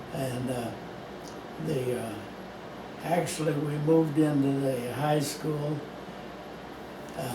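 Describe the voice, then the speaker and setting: With audible room echo and noticeable background noise, a man talks at a very slow pace in a fairly high pitch, his intonation fairly even and his pauses long and frequent. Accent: American. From US Midwest, St. Louis County, Missouri. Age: 90s. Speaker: longtime local resident. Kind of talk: oral history interview. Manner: halting, many fillers.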